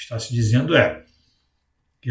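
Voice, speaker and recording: There is some breathiness in the voice. Its pace is moderate. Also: man. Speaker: coach and educational video host. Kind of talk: educational talk to camera. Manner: hesitant, frequent fillers.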